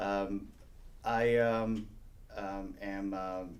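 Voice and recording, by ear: A man talks at a fairly low pitch with little pitch movement. His pace is very slow.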